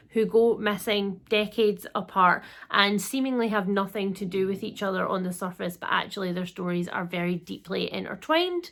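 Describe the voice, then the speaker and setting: A woman in a Scottish accent, medium in pitch, at a moderate pace with fairly even intonation and hardly any pauses. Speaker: book reviewer.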